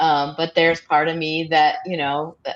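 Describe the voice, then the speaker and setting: A woman speaks at a moderate pace in a normal speaking voice. Her pitch sits fairly low for a woman. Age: 60s. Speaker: viewer panelist. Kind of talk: live stream panel discussion.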